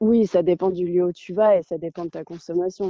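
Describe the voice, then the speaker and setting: A woman at a fairly slow pace, her intonation monotone and flat. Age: 20s. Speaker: traveller. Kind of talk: interview.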